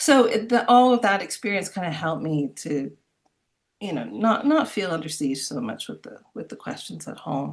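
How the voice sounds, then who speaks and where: Woman with an American accent, a medium pitch, very wide pitch swings, big swings in loudness and vocal fry, at a moderate pace. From US, Miami and New York. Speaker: composer. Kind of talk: interview. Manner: hesitant, many fillers and repetitions.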